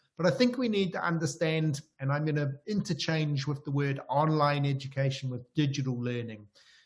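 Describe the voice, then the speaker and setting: A man with a New Zealand accent talks at a moderate pace, his fairly high, somewhat breathy voice showing ordinary pitch variation. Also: hardly any pauses. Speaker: professor. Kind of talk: lecture. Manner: hesitant.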